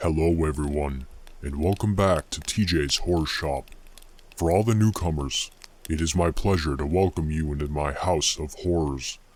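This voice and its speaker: A man speaks at a moderate pace in a put-on character voice pitched very deep and low. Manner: sinister, welcoming.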